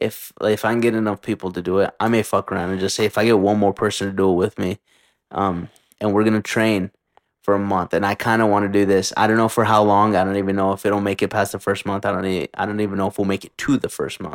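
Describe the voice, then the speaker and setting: Fairly low in pitch and monotone, a man talks at a very fast pace with a dry, close sound with no echo, on a very clean recording with a silent background. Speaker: podcast host. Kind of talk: casual chat. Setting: in person, shared mics. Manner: casual, profane.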